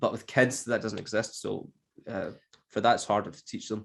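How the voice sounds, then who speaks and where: A man talks in a Scottish accent at a fairly quick pace. His intonation is monotone and flat. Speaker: English teacher. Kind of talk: podcast conversation.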